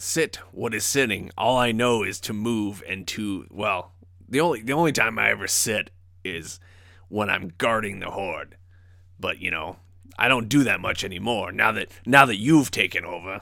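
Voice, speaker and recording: A man puts on a gravelly, raspy character voice at medium pitch and a moderate pace. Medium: actual play. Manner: gruff, teasing.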